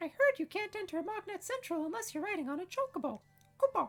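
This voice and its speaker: A put-on character voice, squeaky and extremely high in pitch. It races along at a very fast pace. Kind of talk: cute creature voice. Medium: solo performance. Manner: tags sentences with "kupo".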